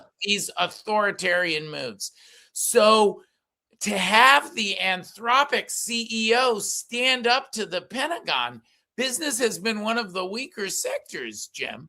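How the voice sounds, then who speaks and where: A man speaks in a raised, projected voice with a high pitch. His tone is bright and sharp, with ordinary pitch variation. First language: Yiddish. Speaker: political commentator and columnist. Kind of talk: political talk show discussion. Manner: halting, many fillers.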